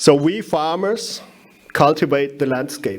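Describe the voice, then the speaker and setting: With a German accent, a man speaks at a fairly slow pace in a fairly high pitch with ordinary pitch variation. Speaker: winegrower, conference speaker. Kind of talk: conference talk. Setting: stage with audience. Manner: halting, many fillers.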